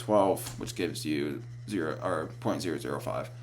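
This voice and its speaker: A man's voice shows ordinary pitch variation, with audible room echo and noticeable background noise. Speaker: college student. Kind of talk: class presentation. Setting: screen recording. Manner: fast; halting.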